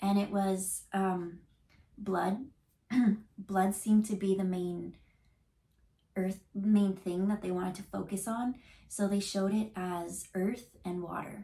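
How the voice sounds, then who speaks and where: A woman at medium pitch speaks at a very slow pace, somewhat breathy and dark, mellow in tone, in a flat monotone broken by long, frequent pauses. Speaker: intuitive card reader. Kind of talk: tarot reading on camera. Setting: on camera. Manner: casual, halting with fillers.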